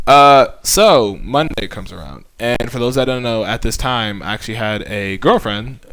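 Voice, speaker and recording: In a room with audible echo, a man speaks at a moderate pace with big swings in loudness. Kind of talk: testimony. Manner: halting.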